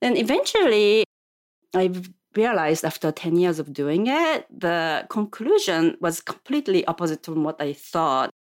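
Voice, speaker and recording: Lively intonation and a moderate pace in a Japanese accent. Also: woman, medium pitch for a woman. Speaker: yoga teacher and cancer epidemiologist. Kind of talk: interview. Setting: studio.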